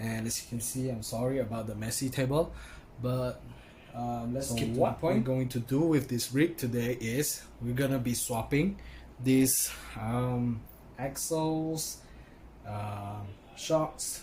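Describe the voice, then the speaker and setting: A man with a dark, mellow, somewhat breathy voice of medium pitch speaks at a fairly slow pace with fairly even intonation. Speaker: RC car hobbyist. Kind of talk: casual talk to camera. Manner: hesitant, many fillers.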